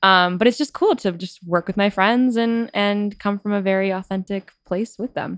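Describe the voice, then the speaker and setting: In a dry, close recording with no echo, a woman talks at a moderate pace in an unremarkable speaking voice, medium in pitch and with ordinary pitch variation. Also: hardly any pauses. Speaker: songwriter and emerging artist. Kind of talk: casual interview chat. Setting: studio.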